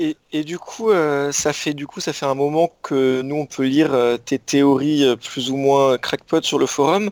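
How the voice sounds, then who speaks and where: A man at a very slow pace, fairly high in pitch with ordinary pitch variation, in a dry, close sound with no echo on a very clean recording with a silent background. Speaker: podcast co-host.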